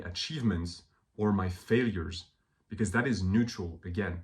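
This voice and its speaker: An animated, somewhat breathy voice at a moderate pace, with ordinary pitch variation. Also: man. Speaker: self-help video creator. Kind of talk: motivational monologue.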